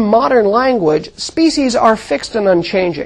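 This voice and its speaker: A woman with an American accent speaks at a fairly high pitch, her voice making very wide pitch swings. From US Southwest (Mojave Desert). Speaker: astronomy professor. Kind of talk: lecture.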